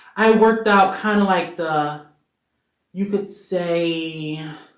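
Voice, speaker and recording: A woman talks at a fairly low pitch with ordinary pitch variation. Room echo can be heard. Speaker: singer-songwriter. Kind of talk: casual vlog Q&A. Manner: animated.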